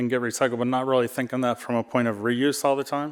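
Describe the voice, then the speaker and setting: Very clean recording of a man at medium pitch, monotone and flat in intonation, over a silent background. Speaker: e-waste industry panelist. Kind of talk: panel talk. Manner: nervous-sounding voice.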